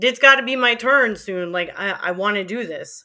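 This woman has a New York accent. Her tone is bright and sharp. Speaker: former college radio DJ. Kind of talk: interview.

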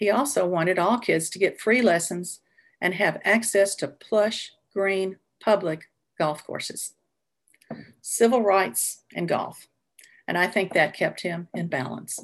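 A woman's medium-pitched voice with a Southern US accent, fairly slow with long, frequent pauses and ordinary pitch variation, against a quiet background. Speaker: retired music teacher. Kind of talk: personal storytelling. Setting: video call.

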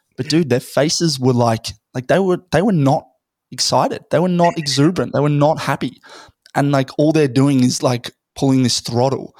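With an Australian accent, a man talks at a moderate pace and a fairly high pitch with ordinary pitch variation. The sound is dry and close with no echo, in a very clean recording with a silent background. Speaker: podcaster and startup founder. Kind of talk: casual chat.

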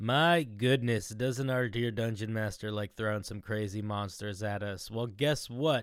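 In a normal speaking voice, a man with a fairly low pitch talks at a fairly slow pace and with fairly even intonation on a very clean recording with a silent background. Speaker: tabletop RPG player. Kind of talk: campfire storytelling in character. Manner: playful.

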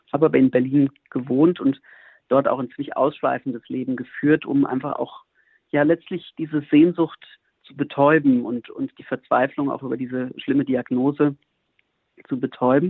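This man has an unremarkable speaking voice, fairly high in pitch, with fairly even intonation and big swings in loudness. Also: moderate pace. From Germany, near Frankfurt am Main (Hesse). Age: 40s. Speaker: monk and priest. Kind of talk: radio interview.

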